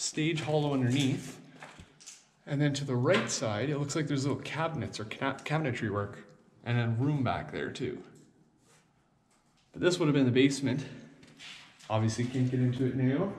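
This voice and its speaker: Speaking at a moderate pace, a man sounds somewhat breathy and leaves long, frequent pauses. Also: ordinary pitch variation. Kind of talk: exploration commentary. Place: hall. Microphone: phone near.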